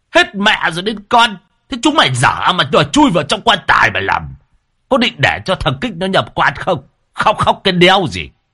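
Putting on a character voice, a man talks at a high pitch with very wide pitch swings, a bright, sharp tone and a slightly husky edge. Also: moderate pace.

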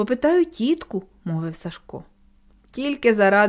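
Reading in an unforced voice, without strain.

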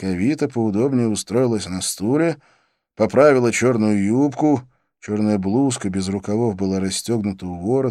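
Reading aloud in a natural voice, ordinary pitch variation, and a quiet background.

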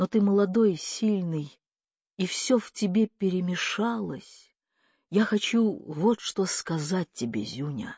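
A woman does a quiet put-on character voice, slow and fairly low-pitched, with a slightly mellow tone, a slightly husky edge, lively intonation and a dry, close sound with no echo.

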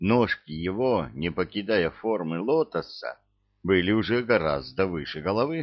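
Over a quiet background, an unforced reading voice carries lively intonation.

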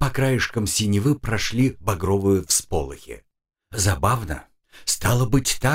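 The speaker uses a natural reading voice with ordinary pitch variation. The background is quiet.

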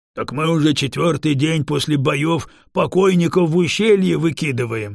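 Using a put-on character voice, a man drawls at a moderate pace with a fairly high pitch on a very clean recording with a silent background. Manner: offended, drawling.

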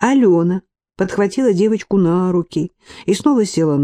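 An unforced reading voice. The background is quiet.

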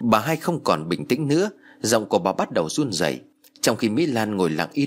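A natural reading voice carries the whole clip.

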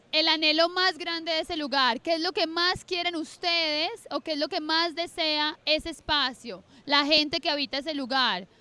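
A woman's extremely high-pitched voice with a bright, sharp tone

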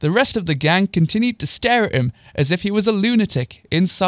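The plain reading aloud here has lively intonation.

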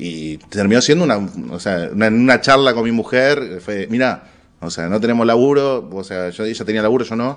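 Speaking with a Rioplatense accent, a man keeps a medium pitch and ordinary pitch variation. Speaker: stand-up comedian. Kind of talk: casual interview.

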